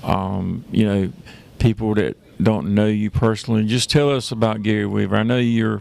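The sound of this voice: A man speaks at a fairly low pitch with vocal fry and fairly even intonation. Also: moderate pace, slightly mellow tone.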